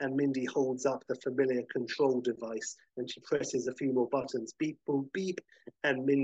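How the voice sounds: Over a quiet background, the speaker uses a natural reading voice with fairly even intonation.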